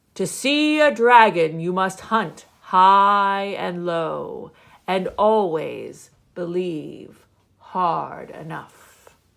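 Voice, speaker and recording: Putting on a character voice, a woman speaks at a very slow pace with a medium pitch. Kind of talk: bedtime story. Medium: read story. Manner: blustery, confident.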